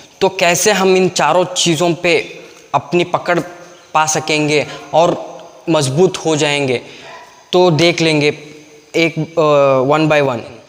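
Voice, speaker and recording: A man with a Kannada accent talks at a fairly high pitch, leaving long, frequent pauses. Noticeable background noise runs through the clip. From Karnataka, India. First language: Kannada (speaking Hindi). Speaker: YouTube English teacher. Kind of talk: tutorial. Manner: halting, many fillers.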